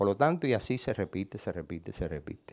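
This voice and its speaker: A man keeps a moderate pace, and the background stays quiet. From Cuba (Havana). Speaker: photographer; panelist. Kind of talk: panel discussion. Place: stage. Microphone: handheld.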